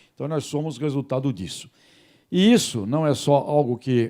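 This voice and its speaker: A man with a dark, mellow tone talks at a moderate pace with ordinary pitch variation on a very clean recording with a silent background. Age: 60s. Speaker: journalist and radio host. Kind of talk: talk to students and faculty.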